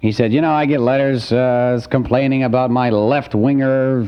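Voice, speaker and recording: A man's voice at medium pitch. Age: young. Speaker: radio host. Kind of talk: call-in radio show. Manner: courteous, friendly.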